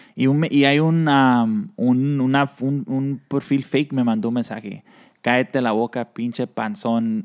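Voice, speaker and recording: Fairly slow speech from a man, quiet background behind him. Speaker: cap brand founder; guest. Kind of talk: casual interview. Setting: in a shop. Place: studio.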